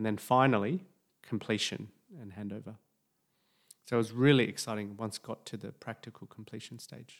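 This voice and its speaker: With an Australian accent, a man at medium pitch talks at a fairly quick pace with fairly even intonation. His delivery has long, frequent pauses and big swings in loudness. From Sydney, Australia. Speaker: doctor and property investing podcaster. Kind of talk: personal story podcast monologue.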